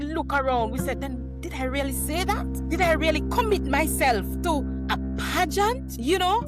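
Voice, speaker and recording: A woman keeps a moderate pace as music plays behind her. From rural Jamaica. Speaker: educational leader and author. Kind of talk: interview answer.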